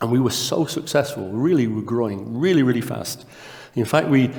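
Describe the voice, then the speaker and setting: In a northern English accent, a man talks at a fairly quick pace with ordinary pitch variation, with noticeable background noise and audible room echo. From northern England. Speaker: conference speaker, test company co-founder. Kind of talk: conference talk. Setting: conference stage with audience. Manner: quiet.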